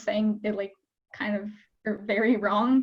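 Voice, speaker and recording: Her voice is somewhat breathy and fairly high-pitched for a woman, with monotone, flat intonation. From Japan. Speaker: university student panelist. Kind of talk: casual chat. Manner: hesitant, many fillers.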